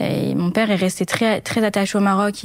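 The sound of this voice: A woman speaks at a medium pitch with a slightly mellow tone.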